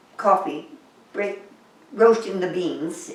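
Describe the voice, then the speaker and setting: A woman speaks at a very slow pace, her pitch moving in an ordinary way. Noticeable background noise can be heard. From England. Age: old. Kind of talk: interview answer. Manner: hesitant.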